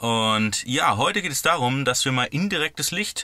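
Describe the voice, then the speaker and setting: A man with a bright, sharp tone is heard in a dry recording with no echo against a quiet background. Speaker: van conversion vlogger. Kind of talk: casual vlog chat. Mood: cheerful and happy. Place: car. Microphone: phone near.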